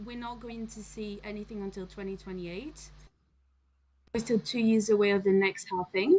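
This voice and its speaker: A woman speaks with a French accent in a somewhat breathy voice. Her loudness rises and falls sharply. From France. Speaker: crypto commentator. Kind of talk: casual chat.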